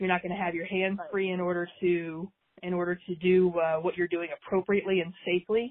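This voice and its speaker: At a fairly quick pace, a woman speaks in a fairly low pitch with monotone, flat intonation. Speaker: extension weed specialist. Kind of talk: interview on pesticide safety.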